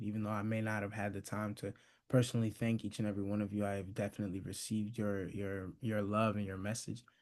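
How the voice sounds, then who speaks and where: A soft-spoken man with a fairly low pitch and monotone, flat intonation over a quiet background. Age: young. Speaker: graduate being celebrated. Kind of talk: thank-you speech. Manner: halting.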